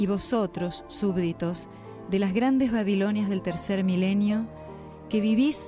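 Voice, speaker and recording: Over music in the background, a woman talks fairly slowly at medium pitch with ordinary pitch variation. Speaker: radio announcer. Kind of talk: religious message reading.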